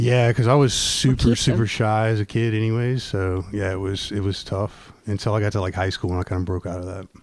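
Speaking very fast with hardly any pauses, a man with an American accent uses a fairly low pitch and fairly even intonation. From California, Virginia. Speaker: singer-songwriter. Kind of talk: casual chat. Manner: halting.

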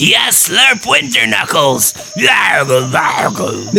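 Over clear background noise, a man uses a put-on character voice and speaks at a very slow pace. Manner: nasty.

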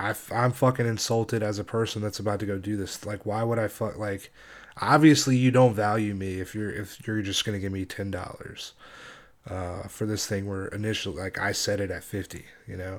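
A man with a fairly low pitch speaks at a fairly quick pace and has an unremarkable speaking voice. His intonation stays fairly even. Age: 30s. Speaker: podcast host. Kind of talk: casual monologue. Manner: casual, filler-heavy.

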